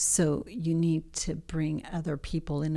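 On a very clean recording with a silent background, a woman speaks in a very deep, low pitch with a dark, mellow tone and monotone, flat intonation. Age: 60s. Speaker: therapist. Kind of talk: casual chat.

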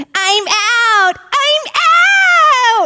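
The speaker uses a put-on character voice. Its pitch is extremely high. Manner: playful, exclaiming.

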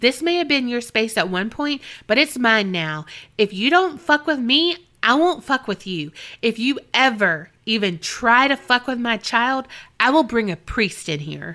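Using a put-on character voice, a woman speaks at a moderate pace and high pitch in a very clean recording with a silent background. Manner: stern, firm.

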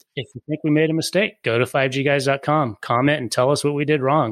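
An ordinary speaking voice with an American accent moves at a fairly quick pace, its intonation fairly even. The sound is dry and close with no echo, a very clean recording over a silent background. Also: man. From Colorado. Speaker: podcast co-host, wireless industry expert. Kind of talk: casual chat.

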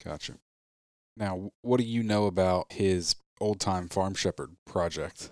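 Recorded very cleanly with a silent background and a dry, close sound with no echo, a man speaks in an ordinary speaking voice at a fairly low pitch, with fairly even intonation and a fairly slow pace. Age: 30s. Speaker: podcast host. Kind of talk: casual interview.

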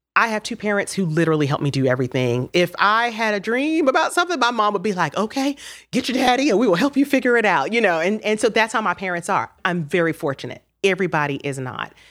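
A woman with an American accent, medium pitch, very wide pitch swings and a very fast pace. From Miami, Florida. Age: 40s. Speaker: TV news journalist. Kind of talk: casual interview chat. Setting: studio.

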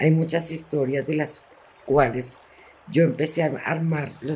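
Breathing somewhat audibly, a woman speaks at a fairly slow pace with a very deep, low pitch and fairly even intonation. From Bogotá, Colombia (Ciudad Bolívar). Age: 60s. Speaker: local historian and cultural organizer. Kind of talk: testimony. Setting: public library. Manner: halting.

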